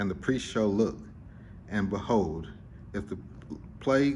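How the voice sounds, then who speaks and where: A man with a fairly low pitch, ordinary pitch variation and vocal fry is heard with audible room echo. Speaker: scripture reader. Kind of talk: reading aloud. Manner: halting.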